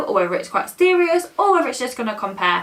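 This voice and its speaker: This woman's pitch swings very widely. Noticeable background noise sits behind her. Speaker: reaction channel co-host. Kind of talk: casual chat. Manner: loud.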